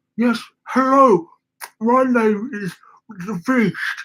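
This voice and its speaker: Putting on a character voice, a man growls at an extremely high pitch and a very slow pace. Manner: gruff, unpleasant to sustain.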